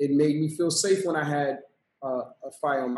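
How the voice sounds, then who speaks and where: The man's voice sits at a fairly high pitch. His intonation stays fairly even. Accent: New York. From Brooklyn, New York, of Trinidadian parents. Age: 40s. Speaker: violence interruption program director. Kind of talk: podcast interview. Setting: video call.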